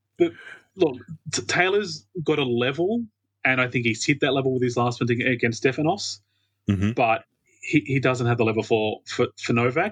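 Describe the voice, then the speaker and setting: A man speaks at medium pitch with an Australian accent. The sound is dry and close with no echo, over a quiet background. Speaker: tennis fan. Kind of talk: casual chat. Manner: fast talker.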